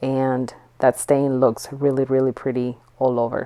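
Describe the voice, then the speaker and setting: Her voice very deep and low in pitch, a woman speaks at a fairly slow pace in a dark, mellow tone. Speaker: furniture painter and flipper. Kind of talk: tutorial narration. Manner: casual, with fillers and repeats.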